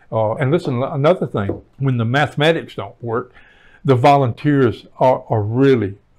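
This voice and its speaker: A man with a Southern US accent at a moderate pace. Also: medium pitch for a man, ordinary pitch variation. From Alabama. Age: 70s. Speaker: housing agency director. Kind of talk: interview. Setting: office.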